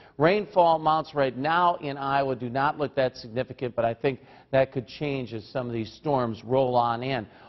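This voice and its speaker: Ordinary pitch variation and a moderate pace mark the speech, with a quiet background behind it. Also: man, medium pitch for a man. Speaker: TV meteorologist. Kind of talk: morning TV weather forecast. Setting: TV studio. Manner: brisk, conversational delivery rattling off temperatures and towns; friendly, folksy tone with casual asides. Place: studio. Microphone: lapel.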